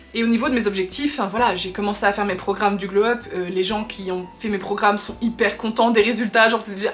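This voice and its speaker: A woman talks at a very fast pace with a fairly high pitch. Noticeable background noise runs underneath. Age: 20s. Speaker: lifestyle vlogger. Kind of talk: casual chat. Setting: facecam video.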